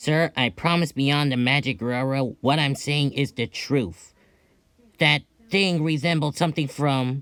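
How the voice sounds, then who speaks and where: A put-on character voice speaks at a low-to-middle pitch. The recording is very clean, with a silent background. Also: moderate pace. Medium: audio drama. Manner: casual, informal.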